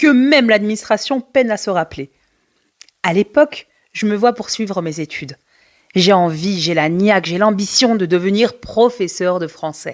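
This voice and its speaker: A woman's normal speaking voice, medium in pitch, with lively intonation and a fairly slow pace, in a very clean, dry, close recording with no echo and a silent background. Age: 40s. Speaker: special education teacher and podcast host. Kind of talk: personal storytelling monologue. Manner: warm, conversational.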